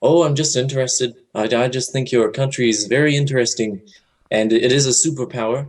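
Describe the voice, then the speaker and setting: A man of medium pitch with a non-native accent talks at a fairly quick pace and with fairly even intonation. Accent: foreign. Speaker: caller. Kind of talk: call-in chat. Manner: hesitant.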